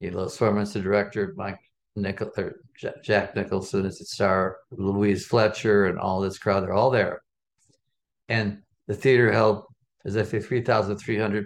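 Someone with an American accent talks at a moderate pace with long, frequent pauses. The intonation is monotone and flat, over a quiet background. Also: man. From Chicago, West Side. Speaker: film festival founder and author. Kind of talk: interview.

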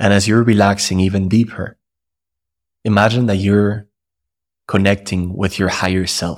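A man's calm, soothing, monotone delivery with long, frequent pauses on a very clean recording with a silent background. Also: fairly low pitch for a man. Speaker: guided meditation host. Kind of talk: guided meditation. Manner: slow, calm, soothing, with long pauses; gentle, hypnotic, rhythmic.

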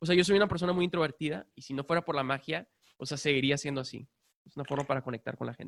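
The speech comes at a very fast pace with ordinary pitch variation and big swings in loudness, recorded with a dry, close sound and no echo. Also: man, fairly high pitch for a man. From Mexico, Monterrey. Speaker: magician and mentalist. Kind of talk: casual chat.

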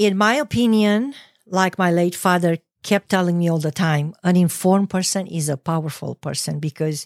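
A woman with a Romanian accent speaks at a fairly slow pace in a fairly low pitch, with ordinary pitch variation. The sound is dry and close with no echo, on a very clean recording with a silent background. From Romania, Ploiești. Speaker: petroleum engineer, immigrant. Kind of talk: interview.

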